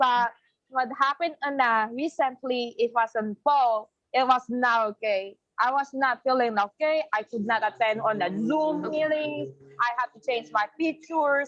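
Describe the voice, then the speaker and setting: In a Filipino accent, the speaker goes at a fairly slow pace with ordinary pitch variation, the sound dry and close with no echo. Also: woman, high pitch for a woman. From Philippines. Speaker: college student. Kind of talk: testimony. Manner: halting.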